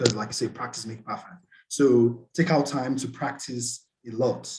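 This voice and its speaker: A man speaks at a moderate pace in a medium pitch, his voice somewhat breathy with ordinary pitch variation. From Nigeria, Port Harcourt. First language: Nigerian Pidgin. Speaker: scholarship student. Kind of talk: webinar presentation.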